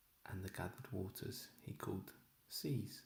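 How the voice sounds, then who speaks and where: Soft-spoken and somewhat breathy, a man talks very slowly at a fairly low pitch with ordinary pitch variation. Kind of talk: bible reading.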